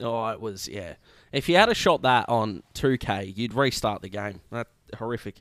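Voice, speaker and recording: Speaking at a moderate pace with an Australian accent, a man uses a medium pitch and ordinary pitch variation. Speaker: sports podcast host. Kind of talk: casual chat. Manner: animated.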